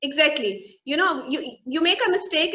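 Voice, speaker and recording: In a raised, projected voice, a woman speaks with a high pitch, a bright, sharp tone and lively intonation. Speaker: soft-skills trainer and coach. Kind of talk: interview. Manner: repetitive, with fillers.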